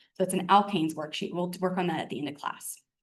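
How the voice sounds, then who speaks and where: A woman's medium-pitched voice at a very fast pace, with audible room echo. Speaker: chemistry instructor. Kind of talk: lecture.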